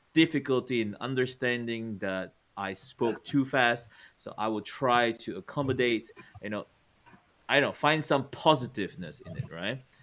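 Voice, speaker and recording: An ordinary speaking voice from a man, medium in pitch, moderate in pace, with ordinary pitch variation. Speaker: podcast host and teacher. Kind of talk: casual chat.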